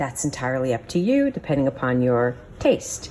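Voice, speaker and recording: Pitch swings very widely over noticeable background noise. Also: woman. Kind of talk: cooking tutorial talk to camera. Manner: casual, friendly.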